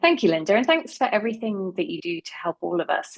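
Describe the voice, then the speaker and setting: Fairly quick speech in an English accent, dry and close with no echo. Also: woman. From England. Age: 50s. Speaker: marketing professional and speaker. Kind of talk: talk to a community group.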